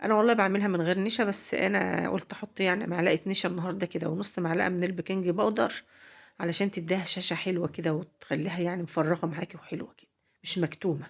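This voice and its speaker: This woman has an Egyptian accent and a fairly low pitch. She talks at a fairly quick pace with fairly even intonation. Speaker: cooking channel host. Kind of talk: cooking tutorial. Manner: halting, with fillers and repeats; warm, chatty.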